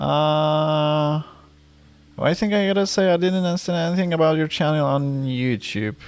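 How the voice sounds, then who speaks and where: A man with a non-native accent talks at a moderate pace in a fairly high voice, his pitch varying in an ordinary way and his loudness staying very even. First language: not English. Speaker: vtuber streamer. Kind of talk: live stream chat. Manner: halting, repeated words.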